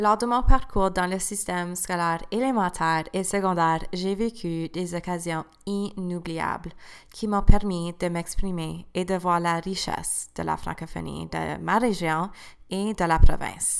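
Speaking fairly slowly with fairly even intonation, a woman with a fairly low pitch shows big swings in loudness. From Eastern Ontario, Canada (Cornwall area). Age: 20s. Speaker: new teacher and podcast host. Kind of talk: scripted personal testimony. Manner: read-aloud, prepared delivery.

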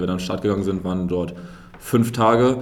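A man's fairly low voice with fairly even intonation and audible room echo. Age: 20s. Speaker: sprinter. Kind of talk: interview.

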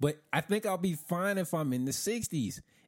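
In a very clean recording with a silent background, a man speaks at a moderate pace. His voice is high, with an American accent and lively intonation. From US South (Florida). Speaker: podcast co-host. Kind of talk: casual chat.

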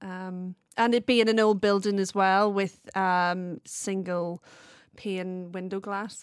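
A woman with a Belfast accent speaks at medium pitch in a monotone, flat intonation. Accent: Belfast Northern Irish. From Northern Ireland, Belfast. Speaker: production sound mixer. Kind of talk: interview. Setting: video call.

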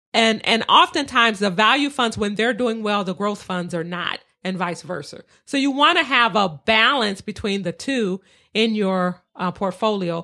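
A woman's fairly high, bright, sharp voice with an American accent and lively intonation, at a moderate pace on a very clean recording with a silent background. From Detroit. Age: 50s. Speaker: real estate investor. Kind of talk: casual interview.

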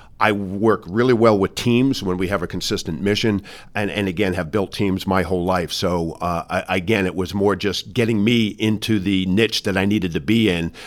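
Heard on a very clean recording with a silent background, a man with an American accent and fairly low pitch speaks at a moderate pace with fairly even intonation and hardly any pauses, in an ordinary speaking voice. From New York, Westchester County. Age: 60s. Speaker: business executive. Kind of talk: interview. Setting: in person.

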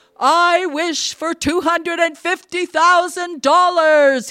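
An extremely high-pitched, put-on character voice carries the speech. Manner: intoned, half joking.

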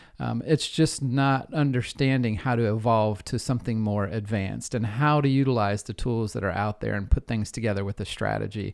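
A man with an ordinary speaking voice and medium pitch talks at a fairly quick pace with hardly any pauses and ordinary pitch variation, on a very clean recording with a silent background. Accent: American. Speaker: data analytics consultant. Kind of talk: interview.

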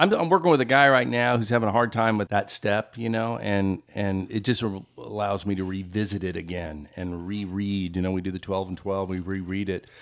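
A man with an American accent and an unremarkable speaking voice talks at a fairly quick pace with hardly any pauses, a fairly low pitch and ordinary pitch variation. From US South, Memphis. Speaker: recovering alcoholic sharing his story. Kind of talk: testimony.

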